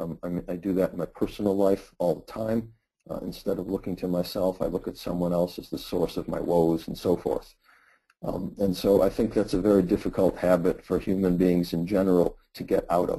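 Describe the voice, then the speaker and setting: A man with a very deep, low pitch and a dark, mellow tone speaks at a fairly quick pace. His intonation is monotone and flat. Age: 60s. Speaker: philosophy professor. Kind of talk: webinar Q&A answer. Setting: online webinar. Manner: halting, many fillers.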